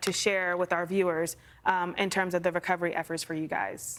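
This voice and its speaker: A woman talks at a fairly quick pace and medium pitch with monotone, flat intonation, on a very clean recording with a silent background. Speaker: TV meteorologist. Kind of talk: TV news interview.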